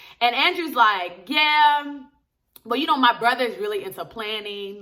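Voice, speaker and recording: A woman speaks in a raised, projected voice. Her tone is animated. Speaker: TV episode reviewer. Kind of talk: casual vlog review. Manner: fast.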